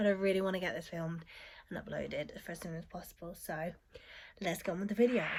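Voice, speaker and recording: The speaker has a British accent. She is a woman. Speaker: beauty vlogger. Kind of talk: casual vlog talk.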